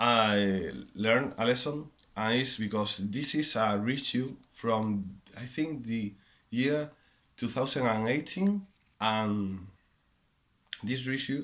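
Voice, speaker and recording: At a very slow pace, a man speaks at a fairly low pitch with ordinary pitch variation in a very clean recording with a silent background. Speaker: vinyl collector making a contest video. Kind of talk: casual monologue answering questions. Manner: halting, with many fillers and repeats.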